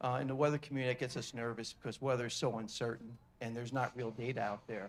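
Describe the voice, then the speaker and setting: A man rattles along at a very fast pace with monotone, flat intonation. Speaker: audience member, retired air force officer. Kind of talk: audience question. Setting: conference hall with audience.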